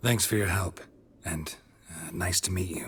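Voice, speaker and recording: A man's put-on character voice, raspy and very deep, at a moderate pace. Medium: video game. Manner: laconic, dry.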